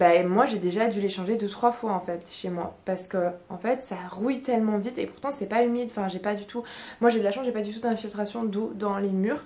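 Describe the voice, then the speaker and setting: A woman is speaking at a fairly quick pace. Her pitch is medium. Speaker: lifestyle vlogger. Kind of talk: casual vlog talk. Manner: monotone; hesitant, many fillers.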